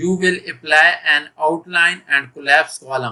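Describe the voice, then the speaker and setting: Speaking fairly slowly, a man with a fairly high pitch and a bright, sharp tone shows ordinary pitch variation. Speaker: online tutor. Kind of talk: tutorial. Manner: slow, step-by-step.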